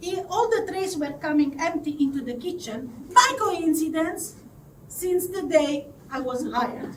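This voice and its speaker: A woman's extremely high voice in an Italian accent, at a very slow pace, with noticeable background noise. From southern Italy. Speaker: confidence coach. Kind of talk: live storytelling to an audience.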